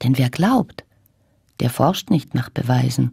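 A woman's very deep, low voice comes through somewhat breathy and dark and mellow in tone, with dry sound, no echo, and a quiet background. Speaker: actress, voice actress. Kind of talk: poetry reading. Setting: radio broadcast recording. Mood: warm, gentle, smiling. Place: booth. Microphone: studio mic.

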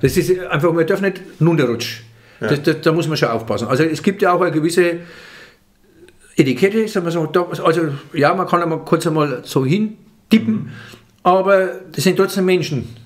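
The pace is moderate, broken by long, frequent pauses. The background is quiet. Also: man, high pitch for a man, ordinary pitch variation. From Franconia. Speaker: comedian. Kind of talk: interview answer. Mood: relaxed, animated. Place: home room. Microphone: studio mic.

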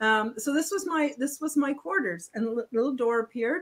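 With lively intonation, a woman talks in a high-pitched voice. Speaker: experiencer and podcast host; podcast host. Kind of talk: interview storytelling. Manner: loud. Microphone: video call.

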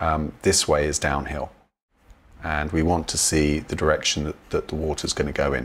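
A man's voice, very deep and low in pitch, moves along at a moderate pace. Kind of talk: tutorial. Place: home room. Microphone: webcam.

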